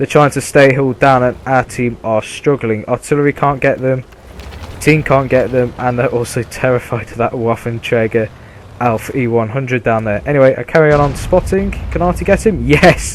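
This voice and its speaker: With a British accent, a man speaks at a medium pitch and a moderate pace, using ordinary pitch variation. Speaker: gaming video creator. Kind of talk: gameplay commentary.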